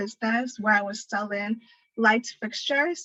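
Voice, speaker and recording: In a dry, close sound with no echo, a woman speaks at a moderate pace in a fairly high voice with a bright, sharp tone and fairly even intonation. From Ghana and Canada. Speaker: engineering graduate and startup founder. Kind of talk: self-introduction in online meeting. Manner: casual, hesitant.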